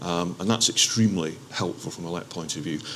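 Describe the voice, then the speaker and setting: A man with an Aberdeen accent speaks in a very deep, low voice. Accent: Aberdeen Scottish. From Scotland, Aberdeen. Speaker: local enterprise partnership representative. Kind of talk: panel discussion. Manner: hesitant, many fillers and restarts.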